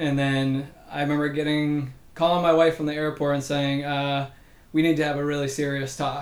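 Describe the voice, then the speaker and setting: This man's fairly high voice has monotone, flat intonation. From Massachusetts. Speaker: physical therapy professor. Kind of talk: interview.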